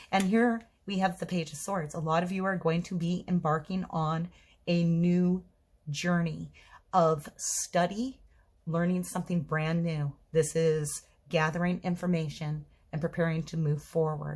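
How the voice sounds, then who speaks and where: In a very clean recording with a silent background, the somewhat breathy voice moves at a fairly slow pace with fairly even intonation. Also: woman, fairly low pitch for a woman. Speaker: tarot reader. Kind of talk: tarot reading monologue. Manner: stuttering today; hesitant with fillers.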